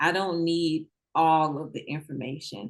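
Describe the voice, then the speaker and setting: A woman speaks with a fairly low pitch. She has a slight Southern US accent. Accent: a little country (Southern US). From Mississippi. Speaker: real estate investor. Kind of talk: interview. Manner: casual, conversational.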